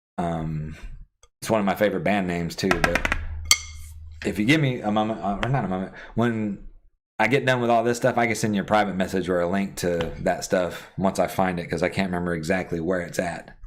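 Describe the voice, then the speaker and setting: Music plays in the background as a man with an American accent speaks at a fairly quick pace. His very deep, low pitch shows ordinary pitch variation. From US South, South Georgia. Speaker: gaming streamer and drummer. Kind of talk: casual live-stream chat answering viewers. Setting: live stream.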